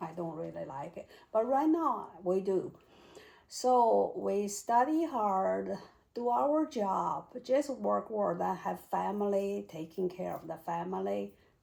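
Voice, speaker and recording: A woman with a Chinese accent at a fairly slow pace. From China (Beijing). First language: Mandarin Chinese. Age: 60s. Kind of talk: interview answer. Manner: hesitant, searching for words.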